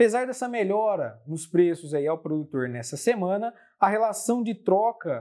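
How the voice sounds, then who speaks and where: With a Brazilian accent, a man speaks at a fairly slow pace with lively intonation on a very clean recording with a silent background. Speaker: market analyst. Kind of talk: formal newsreading of market report, scripted-style briefing. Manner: formal, steady, measured, with occasional filler hesitations.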